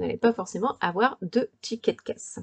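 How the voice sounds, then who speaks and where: The sound is dry and close, with no echo. A woman speaks at a fairly quick pace. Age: 40s. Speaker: podcaster and lifestyle blogger. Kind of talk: solo podcast monologue giving practical advice. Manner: casual with frequent hesitations.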